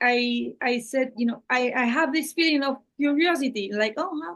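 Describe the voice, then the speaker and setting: Speaking in a Spanish accent, a woman talks at a very slow pace in a high pitch. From Spanish-speaking Latin America. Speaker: channel host and translator. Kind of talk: one-on-one conversation. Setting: video call. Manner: halting.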